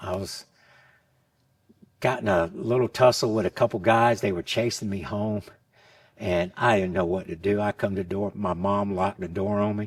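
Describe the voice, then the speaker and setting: A man talks in an unremarkable speaking voice at a fairly low pitch. His pace is moderate and his pitch variation ordinary. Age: 60s. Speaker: martial arts instructor. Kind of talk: interview answer.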